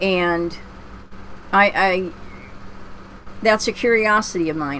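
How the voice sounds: In a Pennsylvania accent, a woman speaks slowly at a fairly low pitch with a fairly bright tone and ordinary pitch variation. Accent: American, Pennsylvania.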